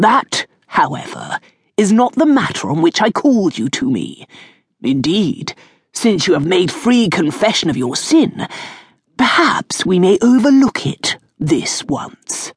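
Fairly high in pitch, a put-on character voice swings very widely in pitch at a fairly slow pace. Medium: read story. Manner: unctuous, mock-sad, condescending.

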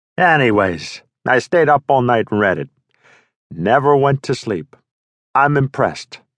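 A man puts on a gravelly character voice at medium pitch and a moderate pace. He leaves long, frequent pauses against a quiet background. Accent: Brooklyn. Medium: read story.

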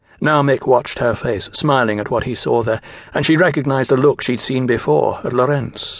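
Reading in an unforced voice

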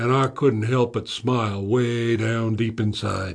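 A man speaks at a medium pitch in a relaxed tone. His intonation stays fairly even. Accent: American. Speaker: audiobook narrator playing a retired lawman. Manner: gruff drawling storyteller, dry and wry, with slow, relaxed cowboy-style delivery; colloquial, folksy and a bit menacing when voicing the lawman's warnings to the suspect.

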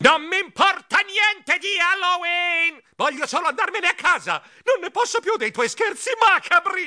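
A man puts on a shrill character voice at an extremely high pitch, speaking at a moderate pace against a quiet background. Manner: shrieking in exasperation.

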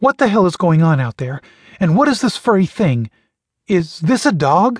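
A shaky, high-pitched put-on character voice from a man, with very wide pitch swings at a moderate pace. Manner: nervous, shaky.

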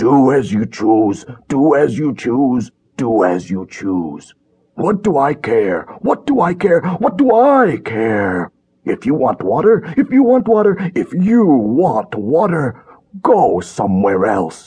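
A man bellows loudly in a put-on character voice that sounds croaky, at a medium pitch with very wide pitch swings. He moves at a fairly slow pace. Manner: loud bellowing, dismissive.

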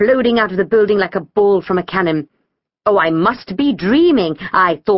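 Plain reading aloud with lively intonation against a quiet background.

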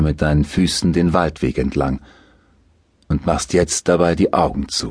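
A man speaks in a soothing, calm tone with vocal fry. His pace is fairly slow. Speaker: audiobook narrator. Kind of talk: guided meditation. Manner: slow, soothing, calm; hypnotic, gently paced with soft repetition.

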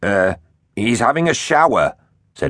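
Against a quiet background, a natural reading voice carries lively intonation.

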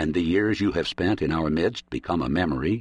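Vocal fry runs through the voice at a moderate pace. The background is quiet. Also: man. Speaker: audiobook narrator. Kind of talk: dramatic audiobook narration of prose poetry, read aloud. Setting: studio. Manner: solemn, measured and lyrical, with a prophetic, reverent cadence.

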